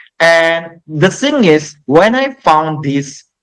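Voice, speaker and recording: A man speaks with an Indonesian accent. His intonation is lively. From Indonesia, Jambi. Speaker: English teacher. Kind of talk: podcast interview.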